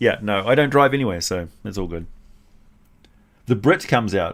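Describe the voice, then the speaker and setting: A man with a New Zealand accent at medium pitch, with very wide pitch swings, big swings in loudness and long, frequent pauses. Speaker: streamer. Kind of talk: casual chat. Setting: live stream. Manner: careful.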